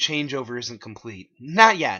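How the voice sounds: In a put-on character voice, the speaker goes at a fairly slow pace with big pitch swings and a bright, sharp tone.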